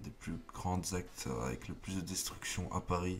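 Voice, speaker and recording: A man speaks with a very deep, low voice and some vocal fry. His pace is fairly slow. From not from France, French-speaking. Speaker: YouTuber, political commentator. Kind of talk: casual commentary vlog. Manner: stutters, halting with many fillers.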